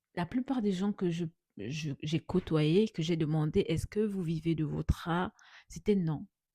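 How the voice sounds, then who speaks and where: Somewhat breathy and dark, mellow in tone, a woman's fairly low voice moves at a fairly slow pace with ordinary pitch variation, in a dry, close sound with no echo. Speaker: artist vlogger. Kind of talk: late-night casual vlog. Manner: halting, repeats words.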